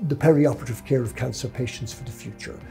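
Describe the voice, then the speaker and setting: Male speech, clear music playing behind it. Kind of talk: interview answer. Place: office. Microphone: lapel.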